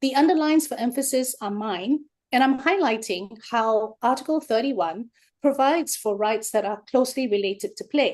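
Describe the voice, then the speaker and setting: At a moderate pace, a woman talks in a high pitch with lively intonation. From Singapore. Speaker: researcher. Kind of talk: webinar lecture.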